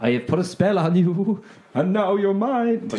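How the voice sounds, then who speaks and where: Cackling in a put-on character voice, a man speaks high at a moderate pace. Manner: cackling, gloating.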